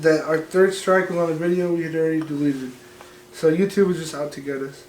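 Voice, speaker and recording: A man speaks at a very fast pace in a fairly high voice, his intonation fairly even but his loudness swinging widely. Audible room echo and noticeable background noise surround him. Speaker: podcast co-host. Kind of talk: casual chat.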